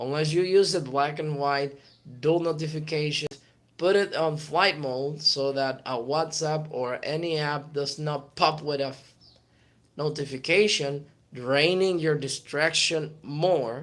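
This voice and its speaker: A man with a Spanish accent speaks at a fairly slow pace. His pitch is fairly high. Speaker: motivational YouTuber. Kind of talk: motivational talk. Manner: animated.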